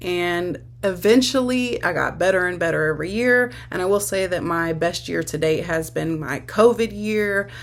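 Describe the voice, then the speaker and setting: A woman with an ordinary speaking voice and fairly low pitch speaks at a moderate pace with lively intonation and hardly any pauses. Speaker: online sex worker and content creator. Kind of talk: casual talk-to-camera advice video.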